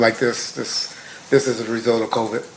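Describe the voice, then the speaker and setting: Talking at a fairly quick pace, a man with an American accent is heard with audible room echo and noticeable background noise. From Compton, California. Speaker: trial witness, retired police officer. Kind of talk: court testimony. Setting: courtroom.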